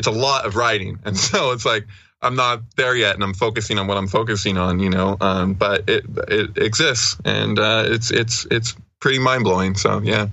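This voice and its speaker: A man with a plain, everyday voice talks at a fairly low pitch and moderate pace, with very even loudness and fairly even intonation. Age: 30s. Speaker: researcher of esoteric texts and synchronicities. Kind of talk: casual interview chat.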